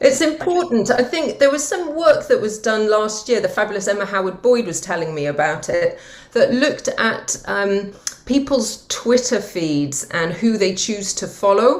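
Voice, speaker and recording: With a Welsh accent, a woman speaks at a moderate pace in a fairly high voice. Her pitch swings very widely. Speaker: green finance executive. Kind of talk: interview conversation.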